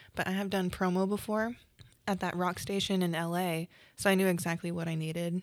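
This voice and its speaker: On a very clean recording with a silent background, a woman speaks with an American accent. Her medium-pitched voice is monotone and flat at a fairly quick pace. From Oklahoma. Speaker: beauty business owner. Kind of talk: casual chat.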